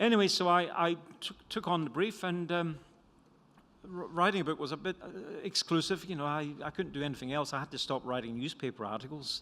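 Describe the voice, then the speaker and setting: In a Scottish accent, a man talks at a fairly quick pace with a fairly high pitch and a bright, sharp tone. The recording is very clean, with a silent background. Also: ordinary pitch variation. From Scotland. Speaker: economist and author.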